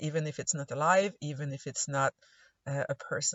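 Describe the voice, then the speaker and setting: A woman's very deep, low voice in a Quebec accent. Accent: Québécois French accent in English. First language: French. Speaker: anthropology instructor. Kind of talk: recorded lecture voice-over. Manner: hesitant, frequent uh fillers.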